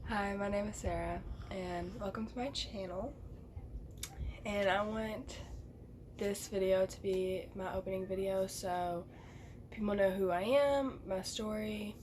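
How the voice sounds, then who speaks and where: A woman speaks at a fairly slow pace with long, frequent pauses. Room echo can be heard. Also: medium pitch for a woman. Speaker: vlogger. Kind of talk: personal storytelling vlog. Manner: casual, filler-heavy.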